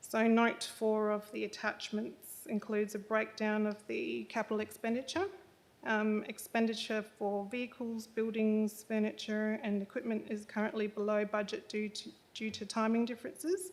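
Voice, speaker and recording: A soft-spoken woman with an Australian accent talks at a moderate pace. Her pitch is fairly high, and her intonation fairly even. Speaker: council finance manager. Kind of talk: report presentation. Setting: council chamber meeting. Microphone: too far from the microphone.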